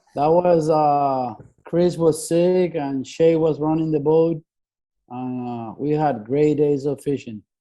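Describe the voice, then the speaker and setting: With a Spanish accent, a man speaks very slowly at a fairly high pitch, his tone dark and mellow and his intonation fairly even. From Venezuela, Puerto La Cruz. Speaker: fishing boat mate. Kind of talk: casual chat.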